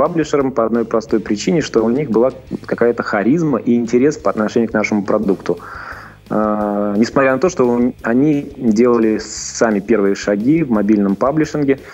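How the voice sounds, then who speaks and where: Music plays in the background as a man with a medium pitch and ordinary pitch variation speaks at a moderate pace. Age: 40s. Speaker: businessman, game studio founder. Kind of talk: interview.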